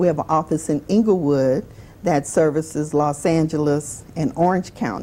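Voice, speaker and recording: A woman with a New Orleans accent speaks at a moderate pace, her very deep, low voice dark and mellow. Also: ordinary pitch variation. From New Orleans, Louisiana. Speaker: adoption agency director. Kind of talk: interview on a talk show.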